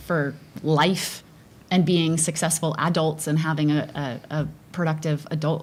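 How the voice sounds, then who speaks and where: A woman speaks at a very deep, low pitch. Her intonation is monotone and flat. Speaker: school board candidate. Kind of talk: candidate forum answers. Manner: loud.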